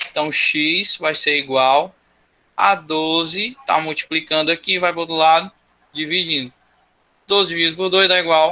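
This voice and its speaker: A man speaks with fairly high pitch and a bright, sharp tone. His intonation stays fairly even. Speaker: school teacher. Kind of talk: online class lecture.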